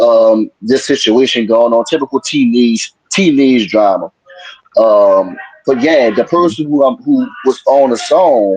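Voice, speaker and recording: A man with a New Orleans accent speaks at medium pitch with ordinary pitch variation. His loudness stays very even, and the sound is dry and close with no echo. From New Orleans, Louisiana. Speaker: music producer. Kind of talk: interview.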